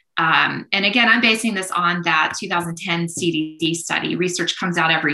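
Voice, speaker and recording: A woman with a fairly low pitch talks while music plays in the background. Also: hardly any pauses. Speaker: criminology professor and researcher. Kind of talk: casual interview conversation. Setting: online video call.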